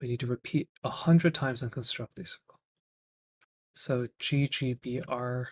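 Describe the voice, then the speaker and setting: The sound is dry and close with no echo. A somewhat breathy man speaks at medium pitch and a moderate pace, with fairly even intonation. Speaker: programming streamer. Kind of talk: live coding stream. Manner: halting with fillers.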